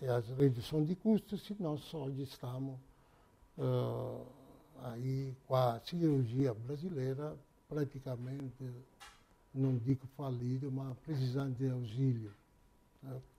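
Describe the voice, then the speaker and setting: A man with a medium pitch and a dark, mellow, somewhat breathy tone speaks at a very slow pace. He pauses long and often, and his pitch varies in an ordinary way. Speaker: auto parts company president. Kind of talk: interview. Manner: halting.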